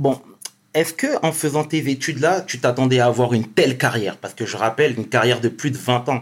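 Fairly quick, medium-pitched male speech in an unremarkable speaking voice. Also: ordinary pitch variation. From Senegal. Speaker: YouTube interview show host. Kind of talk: interview.

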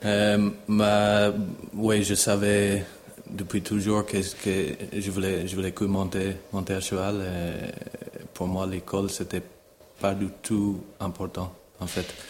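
A man with fairly low pitch and monotone, flat intonation at a very slow pace, with noticeable background noise. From Ireland, near Dublin. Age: 30s. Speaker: show jumping rider. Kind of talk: interview. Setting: on location at a stable. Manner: halting, many repetitions.

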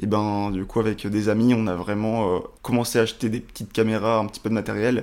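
A man speaks at a very fast pace with a fairly low pitch. His intonation is flat and monotone. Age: 20s. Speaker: video production entrepreneur. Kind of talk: interview. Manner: halting.

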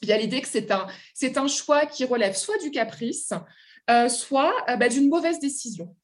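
A woman's high-pitched voice, lively in intonation, at a moderate pace. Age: 30s. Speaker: literature lecturer and author. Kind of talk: interview. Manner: halting.

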